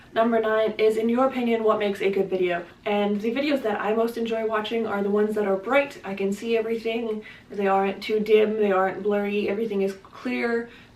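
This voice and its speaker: This woman speaks at a fairly quick pace with hardly any pauses, in a fairly high pitch. Her intonation is monotone and flat, and there is noticeable background noise. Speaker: booktuber. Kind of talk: casual vlog talk to camera. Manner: fast.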